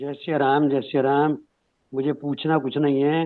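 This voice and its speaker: Speaking at a medium pitch, a man keeps his intonation monotone and flat. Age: 70s. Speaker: elderly class participant. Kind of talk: audience comment.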